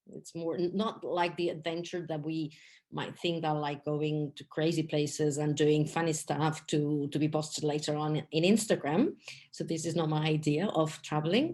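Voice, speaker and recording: A woman with a non-native accent speaks at a moderate pace in a very deep, low voice. Her intonation is monotone and flat, against a quiet background. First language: not English. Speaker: English teacher and travel guide. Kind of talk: podcast interview. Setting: studio.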